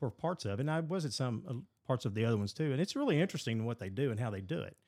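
On a very clean recording with a silent background, a man with a Kentucky accent talks at a very fast pace, medium in pitch with ordinary pitch variation. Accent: Kentucky Southern American. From Western Kentucky. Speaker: mayor. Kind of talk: casual interview.

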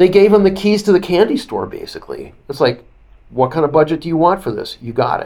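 Fairly quick and high-pitched, a man's dark, mellow voice carries lively intonation and big swings in loudness. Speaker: author and broadcaster. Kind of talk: interview commentary.

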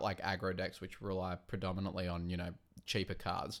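On a very clean recording with a silent background, a man with an Australian accent speaks at a fairly quick pace. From Australia, Wollongong. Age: 30s. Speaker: card game committee member. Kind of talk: casual chat.

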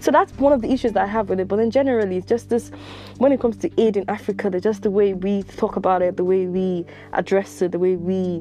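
The tone is animated and the pace is very fast. Music plays in the background. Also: woman, medium pitch for a woman, ordinary pitch variation. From Nigeria. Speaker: podcaster and postgraduate student. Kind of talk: personal monologue.

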